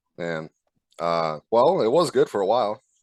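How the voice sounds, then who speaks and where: In a dry, close sound with no echo and a quiet background, a man with an Arizona accent talks at a fairly slow pace. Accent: American (Arizona). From Croatia, moved to Arizona as a child. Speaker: sports fan guest. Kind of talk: casual chat. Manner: halting, many fillers.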